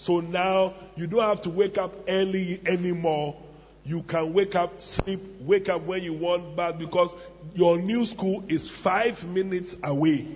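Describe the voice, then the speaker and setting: A high-pitched man with an animated tone at a fairly slow pace, over noticeable background noise. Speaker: preacher. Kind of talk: sermon. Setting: church with audience. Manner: animated, humorous.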